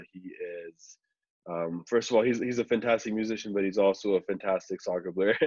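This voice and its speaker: Heard in a dry, close recording with no echo, a man with an ordinary speaking voice talks at a fairly quick pace, his fairly low pitch held in fairly even intonation while his loudness swings widely. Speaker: podcast host. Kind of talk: podcast intro. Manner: casual.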